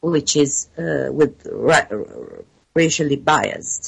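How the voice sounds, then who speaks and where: In an Italian accent, a woman speaks at a very deep, low pitch. Her pace is very slow. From Italy. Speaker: PhD researcher in water science. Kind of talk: interview. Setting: remote call. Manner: halting, many fillers.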